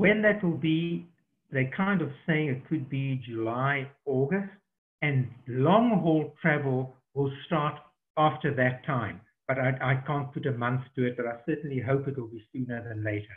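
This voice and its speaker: A man with a South African accent talks at a fairly slow pace. His fairly high voice has lively intonation. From southern Africa. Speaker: safari tour operator. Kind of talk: online Q&A webinar. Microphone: connection dropped briefly.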